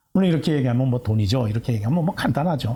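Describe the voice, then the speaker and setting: A somewhat breathy man with lively intonation. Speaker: pastor. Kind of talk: sermon. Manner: halting, many fillers.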